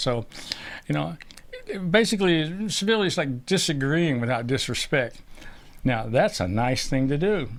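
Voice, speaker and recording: A fairly high-pitched man's voice with very wide pitch swings and long, frequent pauses, over noticeable background noise. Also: moderate pace. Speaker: podcast co-host. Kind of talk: casual chat. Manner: loud; animated.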